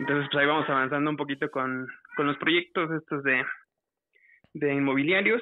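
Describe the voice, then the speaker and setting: A man's fairly high voice at a fairly quick pace, with long, frequent pauses, fairly even intonation, very even loudness and a dry sound with no echo. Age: 40s. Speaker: caller; podcast guest or host. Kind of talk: casual chat. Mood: relaxed, conversational. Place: studio.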